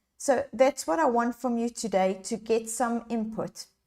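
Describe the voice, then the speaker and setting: A woman's high voice at a fairly slow pace. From South Africa. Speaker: leadership coach. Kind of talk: live online workshop. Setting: livestream. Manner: animated.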